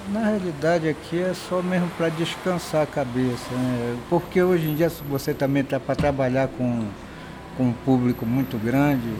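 There is noticeable background noise behind a man with a fairly high pitch. He keeps a moderate pace with ordinary pitch variation. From Guamá, Belém, Brazil. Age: 60s. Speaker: bar owner. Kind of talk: casual interview. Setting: outdoors at a street bar.

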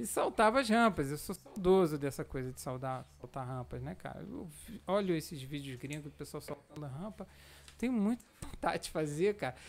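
An ordinary speaking voice, from a man with fairly high pitch. He moves at a moderate pace with lively intonation and big swings in loudness. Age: 40s. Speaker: amateur cyclist and cycling association president. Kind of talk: casual podcast interview. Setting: studio, live-streamed.

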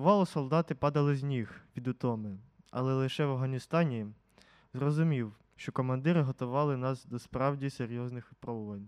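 At a medium pitch and fairly quick pace, a man talks in a normal speaking voice. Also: ordinary pitch variation. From central Ukraine, Poltava region. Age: 50s. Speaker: war veteran. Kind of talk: testimony.

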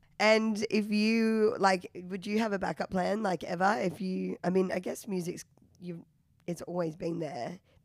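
Ordinary pitch variation runs through this woman's speech, delivered with an Australian accent. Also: medium pitch for a woman, fairly slow pace. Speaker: podcast host. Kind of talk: casual interview chat.

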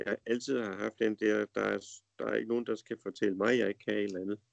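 Moderate pace in a dry, close sound with no echo. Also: man. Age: 50s. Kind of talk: casual conversation. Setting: Skype call. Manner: hesitant, many fillers.

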